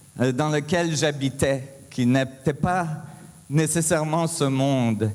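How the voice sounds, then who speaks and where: Fairly high in pitch, a man speaks at a very slow pace. His intonation is fairly even and his loudness very even. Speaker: physicist, conference speaker. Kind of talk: conference talk. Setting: stage with audience. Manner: halting, many hesitations.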